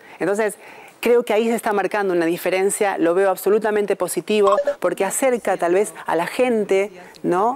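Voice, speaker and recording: This is a normal speaking voice, its pitch shifting in an ordinary way as it moves along at a moderate pace. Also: woman. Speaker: TV news announcer, broadcaster. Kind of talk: interview answer about her new role.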